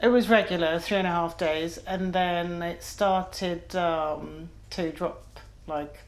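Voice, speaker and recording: Speaking at a very slow pace, a woman keeps a fairly low pitch and fairly even intonation amid audible room echo. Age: 50s. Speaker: patient. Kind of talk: medical consultation.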